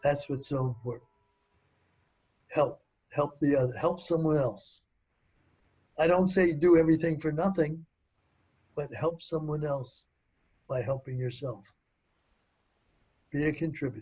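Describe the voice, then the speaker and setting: With an American accent, a man speaks at a fairly high pitch and fairly slow pace, somewhat breathy, with ordinary pitch variation and long, frequent pauses. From US Northeast, Philadelphia. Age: 80s+. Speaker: inventor. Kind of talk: interview.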